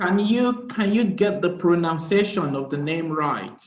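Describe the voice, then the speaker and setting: A man's high-pitched voice with a slight Nigerian accent, fairly slow in pace and with ordinary pitch variation. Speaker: conference participant. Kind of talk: casual chat.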